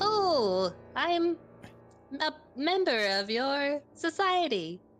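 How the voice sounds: A woman puts on a character voice, pitched high and swinging very widely up and down. She speaks at a very slow pace.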